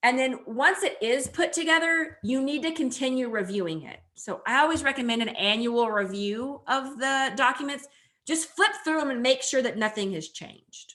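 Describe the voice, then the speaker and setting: A woman speaks in a raised, projected voice, high-pitched and bright with a sharp edge. Her loudness swings widely, her intonation is lively, and she keeps a moderate pace with hardly any pauses. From New Mexico. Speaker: agricultural lawyer. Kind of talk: webinar presentation.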